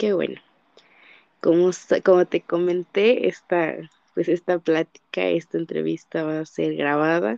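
Her tone dark and mellow, a woman speaks at a fairly low pitch and fairly slow pace with long, frequent pauses, in a dry, close sound with no echo. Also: ordinary pitch variation. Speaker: psychology student interviewer. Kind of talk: interview.

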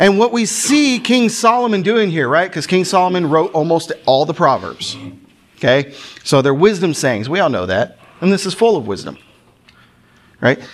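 Through noticeable background noise, a man with a high pitch speaks with very wide pitch swings and long, frequent pauses. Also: moderate pace. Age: 30s. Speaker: preacher. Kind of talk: sermon.

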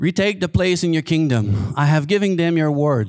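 A man with a French Canadian accent and a fairly high pitch speaks at a fairly slow pace with very wide pitch swings, on a very clean recording with a silent background. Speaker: guest preacher. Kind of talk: sermon. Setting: church. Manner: halting.

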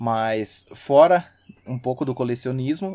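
The voice has a dark, mellow tone and moves at a very slow pace on a very clean recording with a silent background. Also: man. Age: 30s. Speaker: systems analyst and hobby musician. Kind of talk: casual chat.

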